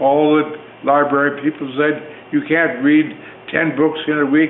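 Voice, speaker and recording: With an American accent, a man talks at a fairly slow pace and a fairly high pitch over noticeable background noise. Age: 80s+. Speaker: author and playwright. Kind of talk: speech to theater audience. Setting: theater, live audience. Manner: energetic.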